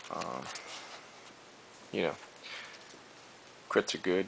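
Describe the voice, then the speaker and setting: A man over noticeable background noise. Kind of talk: card game deck profile, casual talk. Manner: hesitant, many fillers.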